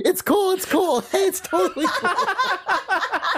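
An extremely high, put-on character voice shouts at a fairly slow pace. Clear background noise runs underneath. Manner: screaming.

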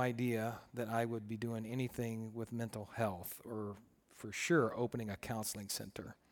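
In an American accent, an ordinary speaking voice moves at a moderate pace on a very clean recording with a silent background. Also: man. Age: 50s. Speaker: pastor and counselor. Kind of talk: talk to a group of students. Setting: in-person room with audience.

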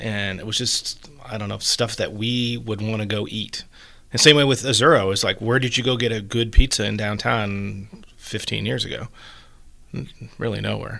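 A bright, sharp voice with vocal fry and fairly even intonation speaks in an American accent, in a very clean recording with a silent background. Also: man, fairly low pitch for a man, moderate pace. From Virginia. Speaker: restaurant owner and chef. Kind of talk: interview.

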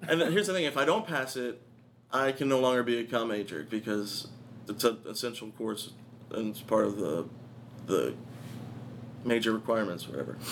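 A man's medium-pitched voice with lively intonation, vocal fry, and long, frequent pauses. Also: fairly quick pace. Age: 20s. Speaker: comedian and college student. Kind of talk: casual chat. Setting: studio.

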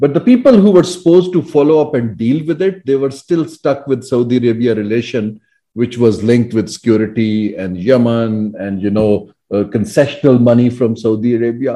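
Speaking at a moderate pace with hardly any pauses, a man uses a dark, mellow, medium-pitched voice and lively intonation. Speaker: former government economic adviser. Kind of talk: interview.

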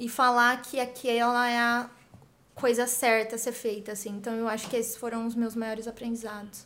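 High-pitched woman, monotone and flat, in a very clean recording with a silent background. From Brazil, interior of São Paulo state. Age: 20s. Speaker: founder of a women's empowerment project. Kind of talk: interview.

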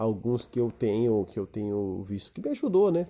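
Dark, mellow tone from a man, on a very clean recording with a silent background. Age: 30s. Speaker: podcaster. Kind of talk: solo monologue. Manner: halting, many fillers.

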